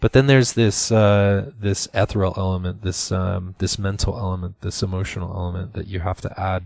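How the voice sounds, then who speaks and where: A man speaks at a fairly quick pace in a very deep, low voice, his intonation fairly even, on a very clean recording with a silent background. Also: hardly any pauses. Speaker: art instructor. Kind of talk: tutorial. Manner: hesitant with fillers.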